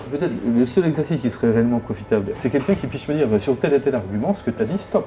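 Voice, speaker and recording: Over noticeable background noise, the speaker races along at a very fast pace with lively intonation. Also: man. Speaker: job seeker, former HR director. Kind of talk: coaching session. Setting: hotel.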